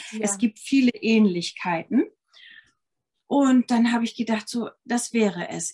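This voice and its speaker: A woman speaks at a moderate pace in a fairly high pitch, somewhat breathy. Her pitch varies in an ordinary way. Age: 50s. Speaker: yoga teacher and ayurveda health consultant. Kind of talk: casual interview chat. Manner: hesitant, many fillers.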